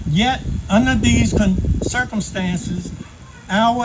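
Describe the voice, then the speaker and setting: Against noticeable background noise, a man with an American accent talks very slowly at a high pitch. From US South. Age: 70s. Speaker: community speaker, Air Force veteran. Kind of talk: public speech. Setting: outdoors event with audience. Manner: formal.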